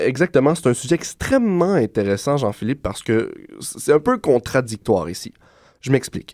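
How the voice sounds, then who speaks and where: The man has a fairly high pitch that swings very widely. He talks at a moderate pace. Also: dry, close sound with no echo. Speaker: radio columnist. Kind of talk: prepared radio segment. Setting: studio.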